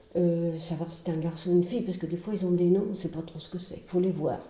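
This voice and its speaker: Through noticeable background noise and audible room echo, a woman with a fairly low pitch speaks with ordinary pitch variation. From Brittany, France. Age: 70s. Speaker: retired teacher and charity founder. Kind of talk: testimony. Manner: hesitant, with filler sounds.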